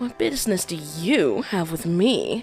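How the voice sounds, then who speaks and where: Over clear background music, a woman at a medium pitch uses a put-on character voice with very wide pitch swings and a fairly slow pace. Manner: odd emphasis on certain words.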